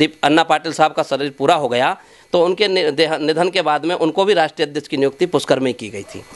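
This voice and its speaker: A man talks at a moderate pace, in a fairly high voice with ordinary pitch variation, and hardly pauses. His loudness swings widely. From Rajasthan, Bharatpur district; Rajasthan. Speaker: community organisation leader. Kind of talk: interview. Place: home room. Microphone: handheld.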